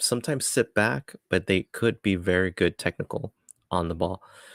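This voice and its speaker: Moderate pace in a dry, close sound with no echo. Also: man. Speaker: soccer channel host. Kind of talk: live match watchalong commentary. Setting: live stream. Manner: hesitant, many fillers.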